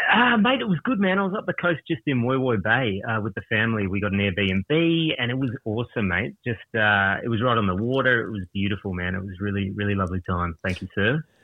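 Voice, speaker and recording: With an Australian accent, a man with a fairly low pitch speaks with lively intonation. He moves at a fairly quick pace with hardly any pauses. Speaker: caller. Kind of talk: casual chat. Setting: phone call.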